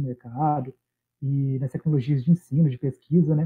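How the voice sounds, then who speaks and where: A man speaks at a fairly high pitch and a moderate pace. His intonation is monotone and flat. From Minas Gerais, Brazil. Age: 30s. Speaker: biologist and environmental consultant. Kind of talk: casual interview chat.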